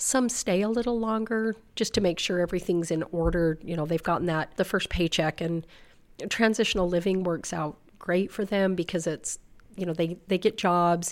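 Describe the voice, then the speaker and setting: An ordinary speaking voice with an American accent moves at a moderate pace with ordinary pitch variation in a very clean recording with a silent background. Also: woman, medium pitch for a woman. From Utah (South Weber, northern Utah). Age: 50s. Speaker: youth shelter outreach coordinator. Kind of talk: interview.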